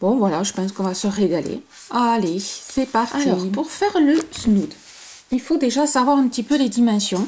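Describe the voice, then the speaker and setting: A woman speaks at a very slow pace, her pitch fairly high. Her intonation is lively. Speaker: crochet tutorial creator. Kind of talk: tutorial. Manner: hesitant, many fillers.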